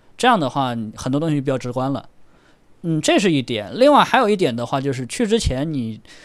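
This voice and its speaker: In a plain, everyday voice, a fairly high-pitched man speaks at a fairly quick pace with lively intonation, on a very clean recording with a silent background. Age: young. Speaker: audio show visitor and hi-fi enthusiast. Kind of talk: casual chat.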